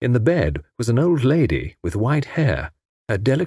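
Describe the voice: Against a quiet background, this plain reading aloud carries lively intonation.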